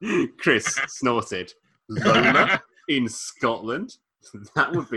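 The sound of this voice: A quiet background and an unforced reading voice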